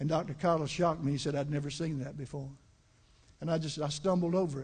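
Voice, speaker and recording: In a monotone, flat intonation, a man talks very fast with a fairly high, somewhat breathy voice. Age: 70s. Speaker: bishop and pastor. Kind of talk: sermon. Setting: church with congregation, livestreamed.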